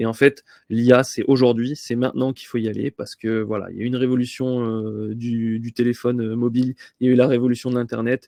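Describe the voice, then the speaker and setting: Monotone, flat intonation in a dark, mellow tone, with a dry, close sound and no echo. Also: man, medium pitch for a man, fairly quick pace. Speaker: AI consultant presenting webinar. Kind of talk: webinar presentation. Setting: online webinar. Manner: fast; hesitant, many fillers.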